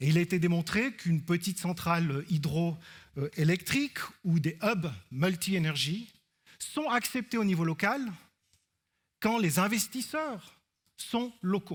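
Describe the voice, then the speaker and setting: A man with an Alpine Swiss accent, high pitch, lively intonation, and very even loudness, at a fairly slow pace with long, frequent pauses, in a very clean recording with a silent background. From Switzerland, Alpine canton. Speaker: researcher. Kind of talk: conference talk. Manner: hesitant fillers (euh).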